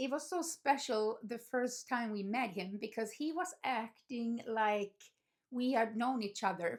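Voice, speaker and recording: In a very clean recording with a silent background, a woman with a normal speaking voice talks at a fairly slow pace, fairly high in pitch, with ordinary pitch variation. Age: 50s. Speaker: dog owner vlogger. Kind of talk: casual talk to camera.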